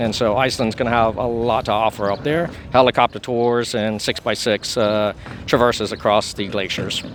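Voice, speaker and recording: A man's medium-pitched voice with fairly even intonation amid noticeable background noise. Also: moderate pace. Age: 40s. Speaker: traveler. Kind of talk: casual interview.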